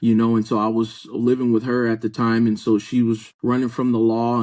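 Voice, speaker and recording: His pitch is medium for a man. This man speaks at a moderate pace with monotone, flat intonation. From US Southwest (Chandler, Arizona). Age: 30s. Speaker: pastor. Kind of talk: testimony.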